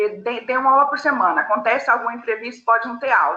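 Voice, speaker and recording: In a plain, everyday voice, a woman talks at a fairly high pitch and a moderate pace with fairly even intonation. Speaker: philosophy teacher. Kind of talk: online class lecture.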